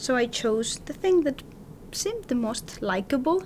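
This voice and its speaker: A woman's voice at a moderate pace, lively in intonation, over noticeable background noise. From Spain. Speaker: professor. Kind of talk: interview.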